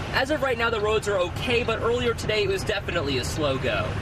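A man speaks fairly quickly through loud background noise. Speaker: TV field reporter. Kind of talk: live news report. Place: farm machine. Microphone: phone near.

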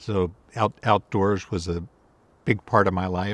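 Fairly slow, monotone, flat delivery from a man, dry with no echo. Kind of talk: interview answer. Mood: relaxed, reflective. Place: forest.

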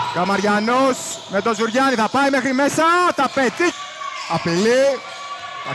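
Amid noticeable background noise, a man with an extremely high pitch speaks at a moderate pace, leaving long, frequent pauses. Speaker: basketball commentator. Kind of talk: live sports commentary. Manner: clipped, breathless calls of each possession.

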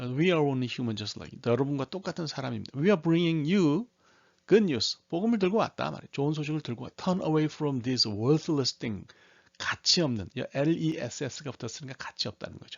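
A man with a plain, everyday voice, fairly high in pitch, at a moderate pace with lively intonation. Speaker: Bible English teacher. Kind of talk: tutorial.

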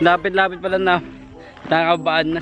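A high-pitched man at a fairly quick pace, dry sound with no echo, noticeable background noise. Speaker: vlogger. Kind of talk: casual vlog chat. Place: street. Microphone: phone near.

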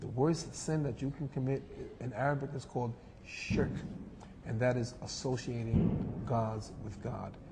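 A man with an American accent talks at a moderate pace. Loud noise fills the background. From New York, USA. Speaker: imam, Islamic speaker and guest. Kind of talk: religious talk in a TV interview. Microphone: lapel.

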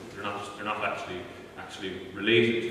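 A man speaks in a room with strong echo and light background noise. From Tipperary, Ireland. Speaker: university lecturer, medieval historian and archaeologist. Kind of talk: lecture. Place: hall. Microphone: camera far.

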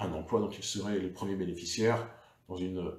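A man's somewhat breathy, dark, mellow tone in monotone, flat intonation, with audible room echo. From France. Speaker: local politician. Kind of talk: political livestream monologue. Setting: Facebook live video. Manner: hesitant, many fillers. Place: home room. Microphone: webcam.

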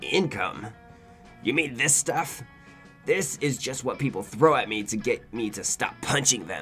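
With clear music in the background, a man uses a put-on character voice at a medium pitch. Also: moderate pace. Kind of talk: comic video game dialogue reading. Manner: gruff, blunt, bored menace.

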